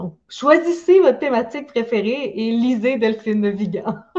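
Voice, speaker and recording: Lively intonation and a dark, mellow tone mark this voice in a Quebec accent. It moves at a moderate pace. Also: woman. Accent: Québécois French. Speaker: book podcast host. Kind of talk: casual chat. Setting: video call.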